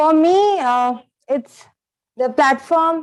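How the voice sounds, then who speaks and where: A woman speaks with lively intonation. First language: not English. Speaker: student debater. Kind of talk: reflections after competition. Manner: halting, many fillers.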